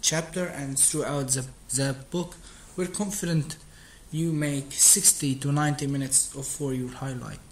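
Noticeable background noise runs under this clip. A man with an Arabic accent speaks at a fairly slow pace. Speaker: streamer practicing English. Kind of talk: reading aloud. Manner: halting.

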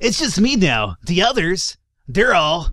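In a put-on character voice, a man speaks high and at a fairly slow pace, his pitch swinging very widely. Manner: laid-back, surfer drawl.

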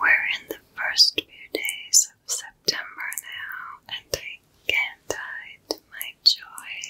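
Her pitch extremely high, a woman speaks at a very slow pace with monotone, flat intonation. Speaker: content creator. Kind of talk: soft-spoken roleplay-style tutorial chat. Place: home room.

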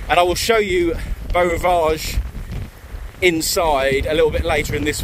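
Against noticeable background noise, a man talks in a high pitch at a moderate pace with fairly even intonation, the sound dry with no echo. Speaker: travel vlogger. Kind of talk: casual vlog chat. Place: waterside. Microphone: phone near.

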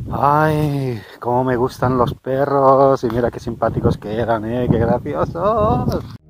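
Over noticeable background noise, a man speaks at a very slow pace, the sound dry with no echo. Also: ordinary pitch variation. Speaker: hiking vlogger. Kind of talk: casual vlog chat. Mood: enthusiastic, admiring. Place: open country. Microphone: phone near.

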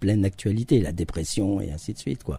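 The tone is dark, mellow and somewhat breathy, with ordinary pitch variation. Delivery is at a moderate pace in a dry sound with no echo. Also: man. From France, Charente-Maritime region (from age 11; born in Nancy); France. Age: 50s. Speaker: actor and stage director; actor. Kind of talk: radio interview. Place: studio.

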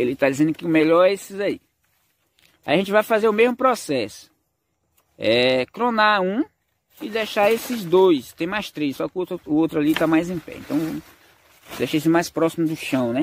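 A man with a high pitch and lively intonation speaks at a moderate pace, leaving long, frequent pauses. The sound is dry with no echo, over light background noise. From rural Brazil, cacao region. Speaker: farming YouTuber. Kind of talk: casual vlog narration. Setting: outdoors on a farm. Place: forest. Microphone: phone near.

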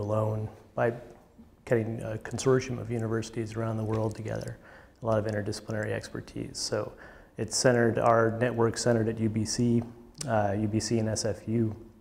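A man talks in a somewhat breathy voice. His intonation is monotone and flat. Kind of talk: interview answer. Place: studio. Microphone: lapel.

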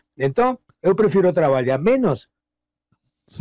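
With a Rioplatense accent, a man speaks at a fairly slow pace in a somewhat breathy, dark, mellow tone with very wide pitch swings and a dry, close sound with no echo. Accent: Argentine Rioplatense Spanish. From Argentina, La Plata. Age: 60s. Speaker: blues musician. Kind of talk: interview. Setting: audio call.

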